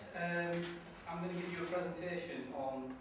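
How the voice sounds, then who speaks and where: Loud background noise and audible room echo surround a man as he speaks. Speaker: trainee teacher; network marketing distributor. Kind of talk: classroom presentation. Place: classroom. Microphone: camera far.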